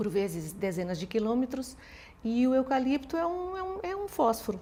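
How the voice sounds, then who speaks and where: A woman is speaking. Her pace is moderate. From Portugal. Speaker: law professor. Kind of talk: interview. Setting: studio. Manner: hesitant, many repeated words.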